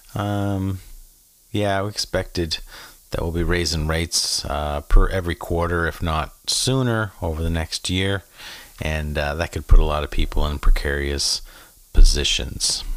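With a Maritime Canadian accent, a man speaks fairly slowly in a very deep, low voice. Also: ordinary pitch variation. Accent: Canadian (Maritimes). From Prince Edward Island, Canada. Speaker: podcast host. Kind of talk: casual monologue rant. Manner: animated; frequent fillers.

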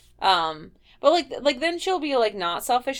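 On a very clean recording with a silent background, a woman with a Midwestern accent speaks at a moderate pace. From Ohio, Midwest. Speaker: podcast co-host.

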